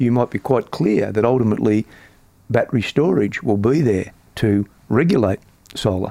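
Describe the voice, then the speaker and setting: A man with an Australian accent, dark and mellow in tone, at very even loudness, with long, frequent pauses, on a very clean recording with a silent background and a dry, close sound with no echo. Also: medium pitch for a man, ordinary pitch variation, moderate pace. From Australia, Melbourne. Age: 70s. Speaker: superannuation industry veteran. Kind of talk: interview.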